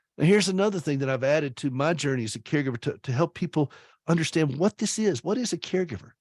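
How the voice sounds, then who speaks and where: Animated and lively in intonation, a man with a Southern US accent talks at a very fast pace and a fairly high pitch, his sound dry and close with no echo over a quiet background. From US South, South Carolina. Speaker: author and radio host. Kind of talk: speech. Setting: video call.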